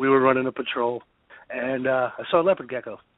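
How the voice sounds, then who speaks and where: The speaker has a New Jersey accent and talks at a moderate pace. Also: man. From New Jersey, Bergen County. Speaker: war veteran. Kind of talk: casual chat.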